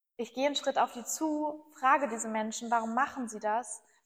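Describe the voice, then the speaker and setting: With ordinary pitch variation, the woman's voice sits high in pitch. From northern Germany, Bremen. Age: 20s. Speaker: climate activist spokesperson. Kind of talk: interview. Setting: studio.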